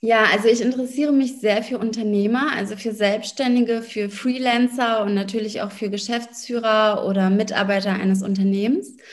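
A woman's fairly high voice at a moderate pace, with fairly even intonation, hardly any pauses and noticeable background noise. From Berlin, Germany. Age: 30s. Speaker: lawyer and business coach. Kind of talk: interview.

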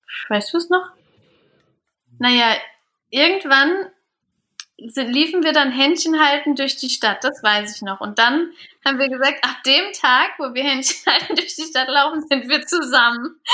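A woman's raised, projected voice at a high pitch, with ordinary pitch variation, a fairly slow pace and long, frequent pauses, on a very clean recording with a silent background. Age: 30s. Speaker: business consultant and trainer. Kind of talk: casual chat.

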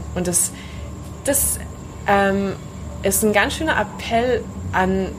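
Music plays in the background as a woman speaks at medium pitch. The room echo is audible. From Allgäu, southern Germany. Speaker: yoga teacher. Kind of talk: interview conversation. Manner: hesitant, many fillers.

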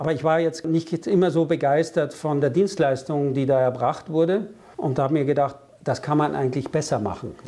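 Here is a man with an ordinary speaking voice. He speaks at a fairly quick pace and a fairly high pitch. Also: ordinary pitch variation. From Germany and France. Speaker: business consultant. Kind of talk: interview.

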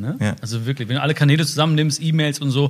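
At a very fast pace, a man talks with lively intonation. His voice is fairly high and somewhat breathy. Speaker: social media personality. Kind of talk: casual interview chat.

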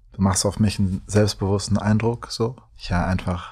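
Somewhat breathy and dark, mellow in tone, a man speaks with monotone, flat intonation. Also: very clean recording, silent background. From Germany, Düsseldorf. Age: 20s. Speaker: artist, blind date contestant. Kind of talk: casual chat.

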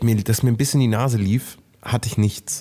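In a very clean recording with a silent background, a man with a dark, mellow tone and medium pitch talks at a fairly quick pace in a monotone, flat intonation. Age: 30s. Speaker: content creator. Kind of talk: casual chat.

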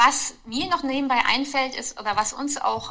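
Fairly slow, high-pitched speech from a woman, its pitch varying in an ordinary way. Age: 30s. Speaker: mother of four. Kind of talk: casual chat.

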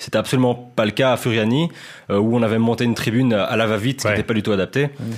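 A man with a Belgian accent speaks at a medium pitch and a very fast pace, his loudness very even and his intonation fairly even. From Belgium. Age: 20s. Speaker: football journalist. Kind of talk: casual podcast chat.

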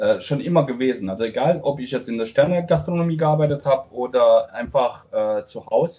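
A man with a fairly high pitch talks at a fairly quick pace, somewhat breathy and with hardly any pauses. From Romania, Transylvanian Saxon (Brașov). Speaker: restaurant owner and chef. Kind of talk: interview.

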